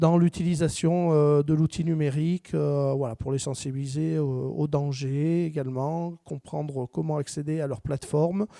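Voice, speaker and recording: A man speaks at a fairly slow pace with a fairly high pitch and a dark, mellow tone. His intonation stays fairly even, and the sound is dry and close with no echo in a very clean recording with a silent background. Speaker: training center director giving a talk. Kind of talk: conference talk. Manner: hesitant, many filler words.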